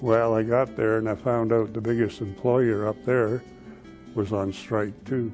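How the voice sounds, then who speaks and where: Music plays in the background as a man at a medium pitch speaks fairly slowly with monotone, flat intonation. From Canada. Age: 70s. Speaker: retiree, Air Force veteran. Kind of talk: interview answer. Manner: hesitant, conversational.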